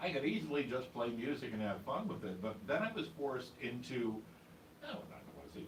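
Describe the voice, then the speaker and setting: Over noticeable background noise and with audible room echo, a man speaks at a medium pitch. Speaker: radio DJ and newsreader. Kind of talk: casual interview chat. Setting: studio.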